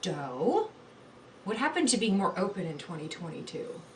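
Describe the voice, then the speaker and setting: Against noticeable background noise, a woman speaks at a fairly quick pace with very wide pitch swings. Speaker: livestreamer. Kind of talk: casual chat. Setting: live stream. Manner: fast, stumbling over words.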